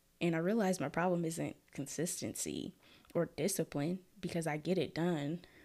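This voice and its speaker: A woman with an American accent speaks at a moderate pace, her pitch fairly low with ordinary variation. The recording is very clean, with a silent background. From Minneapolis, Minnesota. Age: 20s. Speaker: podcast host. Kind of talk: casual solo monologue. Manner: frequent laughter.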